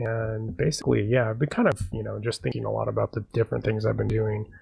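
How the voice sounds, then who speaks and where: This man's voice is somewhat breathy and fairly low in pitch. His intonation stays fairly even. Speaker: amateur game and film maker. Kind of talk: casual live stream talk while level editing. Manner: hesitant, many filler words.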